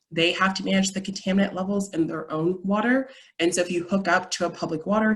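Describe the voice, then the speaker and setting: A woman speaks at a fairly quick pace with a fairly low pitch. Her voice is somewhat breathy, with ordinary pitch variation. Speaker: environmental lawyer. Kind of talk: presentation. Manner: fast.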